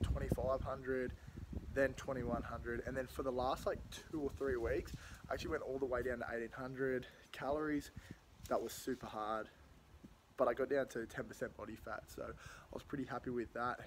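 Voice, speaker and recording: There is noticeable background noise behind a man speaking at a moderate pace. He leaves long, frequent pauses. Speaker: fitness vlogger. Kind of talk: casual vlog chat. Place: garden. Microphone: phone near.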